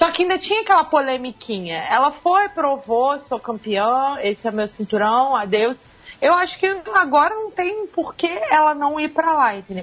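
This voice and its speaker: A woman speaks at a moderate pace in a high voice. Her pitch swings very widely. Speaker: MMA writer and podcast co-founder. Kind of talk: casual chat. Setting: remote call. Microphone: Skype connection.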